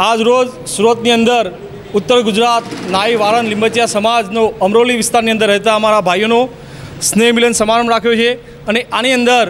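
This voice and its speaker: Over noticeable background noise, a man with an extremely high pitch speaks in a monotone, flat intonation at very even loudness. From Gujarat. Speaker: community organisation official. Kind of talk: news interview statement.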